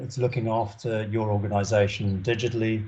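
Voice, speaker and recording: A man speaks in a dark, mellow tone with a somewhat breathy edge. His pace is fairly quick. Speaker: web consultant presenting at a company webinar. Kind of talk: presentation with slides on a video call. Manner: fast.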